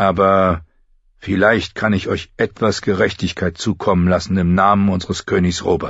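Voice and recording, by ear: A natural voice reads the text aloud.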